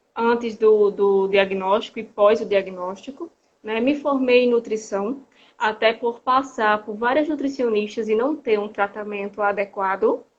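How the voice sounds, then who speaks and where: With a northeastern Brazilian accent, a woman speaks at a fairly slow pace. Her pitch is fairly high. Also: ordinary pitch variation. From Brazil, Rio Grande do Norte (Northeast). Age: 30s. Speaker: nutritionist and patient association president. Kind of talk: interview. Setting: video call.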